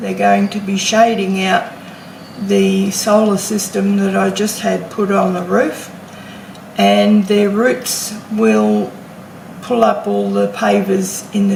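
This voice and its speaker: Noticeable background noise and audible room echo fill this recording. A woman with an Australian accent speaks at a very slow pace. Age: 60s. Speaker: homesteading vlogger. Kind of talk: casual vlog talk to camera. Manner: hesitant with fillers.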